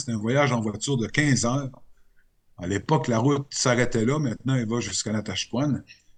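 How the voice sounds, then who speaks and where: This man has a Quebec accent, a somewhat breathy voice, medium pitch and ordinary pitch variation. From Quebec, Côte-Nord (Sept-Îles). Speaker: radio journalist. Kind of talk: interview. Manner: hesitant, many fillers.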